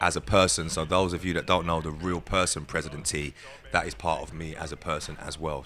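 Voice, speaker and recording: Over background music, a man talks at a fairly quick pace. His very deep, low voice keeps a fairly even intonation. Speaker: grime MC. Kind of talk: interview.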